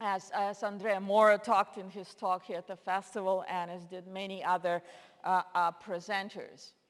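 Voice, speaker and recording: A woman with a Russian accent speaks in a flat, monotone way. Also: medium pitch for a woman, moderate pace, big swings in loudness. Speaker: linguist, lecturer. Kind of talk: lecture.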